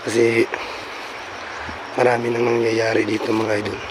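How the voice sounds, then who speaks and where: Noticeable background noise sits behind a man speaking at a moderate pace. His pitch is medium. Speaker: paranormal vlogger. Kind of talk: vlog narration while exploring. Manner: halting with many fillers.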